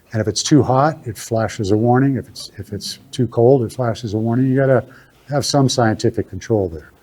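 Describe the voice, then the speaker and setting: A man talks at a fairly quick pace, his loudness swinging widely. His voice is somewhat breathy and medium in pitch, with a dark, mellow tone and ordinary pitch variation. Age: 70s. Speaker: general contractor giving a talk on maple syrup. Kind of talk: talk Q&A with audience. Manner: halting, many fillers.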